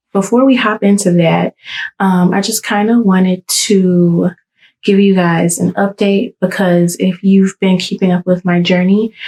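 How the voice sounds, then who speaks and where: A woman whispering, quiet and somewhat breathy, at a fairly slow pace with very even loudness and a dry, close sound with no echo. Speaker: hairstylist and salon owner. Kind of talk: casual vlog update. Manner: quiet, near whispering; hesitant, many fillers.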